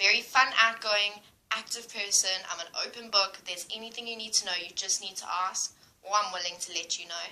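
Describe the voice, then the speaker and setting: Against noticeable background noise, a woman at medium pitch talks fairly quickly, with big swings in loudness. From South Africa, Durban. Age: 20s. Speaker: au pair applicant. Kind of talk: self-introduction video.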